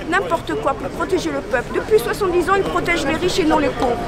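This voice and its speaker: Crowd noise sits behind a woman whose extremely high voice carries lively intonation and audible room echo. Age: 60s. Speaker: protester. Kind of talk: street interview. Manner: animated.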